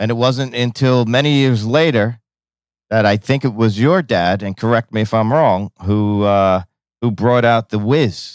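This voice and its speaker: A man speaks at a medium pitch and a fairly slow pace in an ordinary speaking voice, with lively intonation and a dry, close sound with no echo on a very clean recording with a silent background. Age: 50s. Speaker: podcast host and baker. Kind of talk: casual interview.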